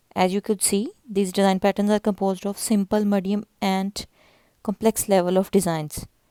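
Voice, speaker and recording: In a very clean recording with a silent background, a woman with a non-native accent speaks at a medium pitch in a monotone, flat intonation. Her tone is dark and mellow, and the sound is dry and close with no echo. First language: not English. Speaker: YouTube fashion and craft channel host. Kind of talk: narrated video presentation.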